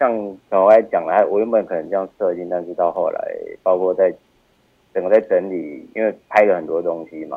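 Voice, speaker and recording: A man is speaking. He talks at a moderate pace. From Taiwan, Taichung (Taiping). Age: 30s. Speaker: film director. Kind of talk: casual interview. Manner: halting, many fillers.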